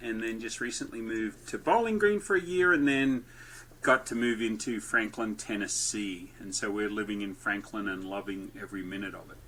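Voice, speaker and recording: Speaking with an Australian accent, a man uses a bright, sharp tone at a medium pitch and a moderate pace. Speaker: entrepreneur and podcast host. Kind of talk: podcast interview. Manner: lively.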